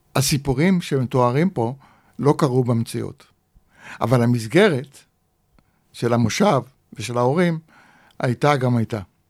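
With a medium pitch and ordinary pitch variation, a man speaks fairly slowly with long, frequent pauses on a very clean recording with a silent background. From Israel. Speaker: author. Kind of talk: interview.

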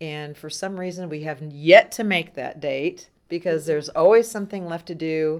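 A woman with an American accent has a plain, everyday voice at a fairly low pitch, speaking at a moderate pace with hardly any pauses. Her pitch variation is ordinary, her loudness swings widely, and the recording is very clean with a silent background. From Southern California. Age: 60s. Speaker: haunted attraction owner. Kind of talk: casual chat.

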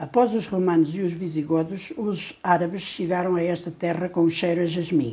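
With an Alentejo accent, a woman talks at a moderate pace in a fairly low pitch, with hardly any pauses. Her tone is dark and mellow, and her intonation fairly even. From Portugal, Alentejo. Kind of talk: reading aloud.

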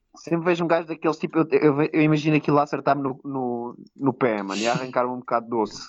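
A man talks at a very fast pace with hardly any pauses, in a Lisbon accent. His pitch is fairly high, with ordinary variation. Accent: European Portuguese, Lisbon. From Portugal, Lisbon. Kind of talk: casual chat. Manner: loud.

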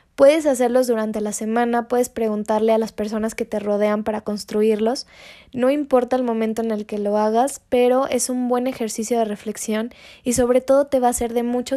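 A woman's fairly high-pitched, dark, mellow voice at a moderate pace with monotone, flat intonation. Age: 20s. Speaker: podcast host, psychologist. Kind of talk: solo podcast monologue with self-help guidance.

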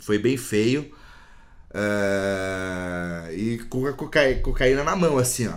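In a room with audible echo, a man at medium pitch talks at a very slow pace with lively intonation. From Brazil, central São Paulo. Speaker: jiu-jitsu practitioner, musician, recovering addict. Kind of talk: personal testimony in interview. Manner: halting, repeats words.

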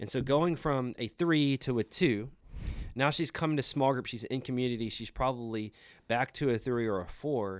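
In a very clean recording with a silent background, a man with an unremarkable speaking voice talks at medium pitch and a moderate pace, with ordinary pitch variation. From Houston area, Texas. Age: 30s. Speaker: church planter. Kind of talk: casual chat.

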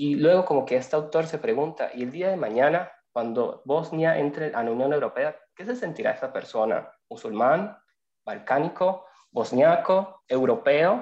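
Lively intonation at a moderate pace. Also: man, fairly high pitch for a man. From Venezuela. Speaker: lawyer and migration student. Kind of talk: casual interview. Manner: halting, repeats words.

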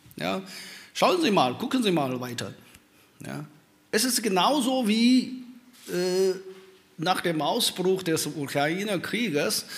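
A man's high voice at a very slow pace, with very wide pitch swings, long, frequent pauses and audible room echo. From China. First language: Chinese (speaking German). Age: old. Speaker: professor. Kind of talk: panel talk. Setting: stage with audience.

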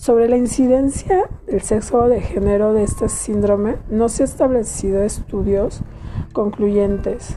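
Speech comes at a fairly slow pace with fairly even intonation and very even loudness. Noticeable background noise runs underneath. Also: woman, fairly high pitch for a woman. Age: 30s. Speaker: podcast host. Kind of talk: solo monologue, partly read informational segment.

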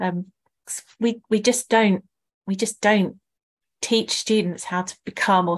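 A woman's plain, everyday voice at a moderate pace, with ordinary pitch variation over a quiet background. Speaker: podcast co-host. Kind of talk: interview conversation.

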